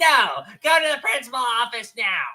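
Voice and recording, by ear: The speaker uses a put-on character voice. It sits at a high pitch.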